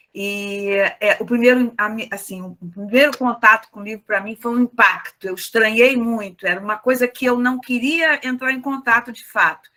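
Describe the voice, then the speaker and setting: At a moderate pace with hardly any pauses, a woman speaks in a fairly high pitch, with ordinary pitch variation and big swings in loudness. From Rio de Janeiro. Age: 60s. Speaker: discussion participant. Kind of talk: casual chat. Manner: halting.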